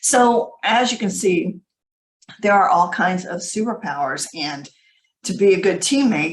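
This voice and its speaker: A woman speaks at medium pitch, somewhat breathy. Her pitch variation is ordinary. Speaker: leadership trainer. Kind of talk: webinar presentation. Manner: fast; animated.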